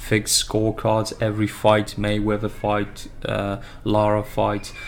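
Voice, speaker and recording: A man speaks with a slight non-native accent. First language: not English. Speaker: boxing fan YouTuber. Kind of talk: casual analysis monologue. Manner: halting, many filler words; slow-paced.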